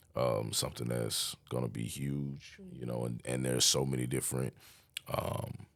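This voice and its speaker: A man speaks with very deep, low pitch in a monotone, flat way at a moderate pace. Noticeable background noise is present. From Las Vegas, US. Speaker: entrepreneur. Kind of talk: podcast interview.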